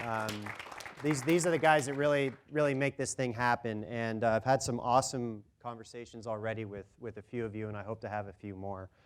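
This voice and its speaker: Over crowd noise in the background, a man of medium pitch talks at a fairly quick pace. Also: ordinary pitch variation, big swings in loudness. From Canada. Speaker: brand manager. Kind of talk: presentation. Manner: animated.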